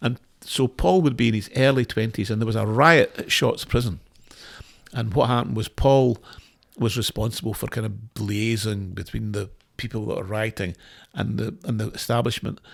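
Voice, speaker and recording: In a very clean recording with a silent background, a man speaks with a Scottish accent. His pitch is medium, his pace moderate, and his pitch variation ordinary. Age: 60s. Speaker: former lawyer. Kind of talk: podcast interview, telling his story. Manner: halting, many repeated words.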